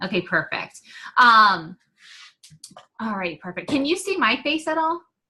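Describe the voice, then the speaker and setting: This woman speaks fairly slowly in a fairly high, bright, sharp voice whose pitch swings very widely. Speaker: team coach leading a training call. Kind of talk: online team training. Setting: video call. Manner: casual, many fillers.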